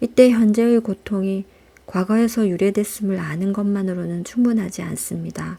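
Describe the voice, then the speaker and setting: A woman's somewhat breathy, dark and mellow voice at a medium pitch, fairly slow in pace with fairly even intonation. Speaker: audiobook reader. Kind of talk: audiobook reading, calm and intimate (ASMR style). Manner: soft-spoken, slow.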